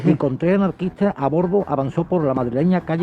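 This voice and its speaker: Noticeable background noise runs under a man's fairly high voice, which shows ordinary pitch variation. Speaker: co-host in radio conversation. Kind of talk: radio discussion.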